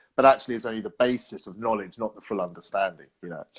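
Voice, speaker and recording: Against a quiet background, a man with a London accent speaks at a medium pitch. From London, England. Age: 40s. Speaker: sales trainer. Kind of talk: casual chat. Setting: live video stream.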